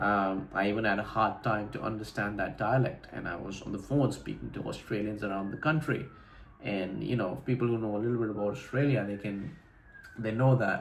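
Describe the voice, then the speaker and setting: A man with a fairly low pitch and ordinary pitch variation, amid noticeable background noise and audible room echo. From India, Delhi NCR. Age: 20s. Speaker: vlogger. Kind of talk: casual vlog monologue. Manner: casual, with frequent fillers and repetitions.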